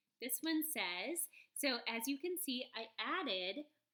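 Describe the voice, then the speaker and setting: Her voice high-pitched, a woman speaks with a bright, sharp tone, very wide pitch swings, and a slight Southern accent. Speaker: elementary school teacher. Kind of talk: remote lesson tutorial. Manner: friendly, encouraging.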